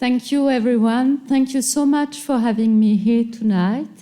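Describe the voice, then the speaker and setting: Somewhat breathy and dark, mellow in tone, a woman with a French accent talks at a moderate pace with ordinary pitch variation. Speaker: museum director and curator. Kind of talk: lecture. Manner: halting.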